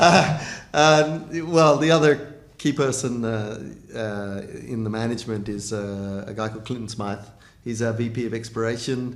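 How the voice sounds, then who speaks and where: Medium pitch from a man at a moderate pace, with ordinary pitch variation and audible room echo. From Australia. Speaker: mining company CEO. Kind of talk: interview. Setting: recorded video interview. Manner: halting, many fillers.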